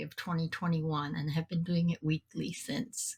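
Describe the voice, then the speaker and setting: Somewhat breathy, a woman talks at a fairly low pitch with fairly even intonation. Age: 60s. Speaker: podcast host and mental health advocate. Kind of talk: interview.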